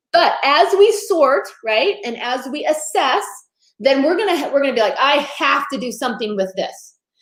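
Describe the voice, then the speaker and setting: Animated and high-pitched, a woman's voice swings very widely in pitch amid audible room echo. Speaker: photo organizing expert. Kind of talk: interview. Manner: fast.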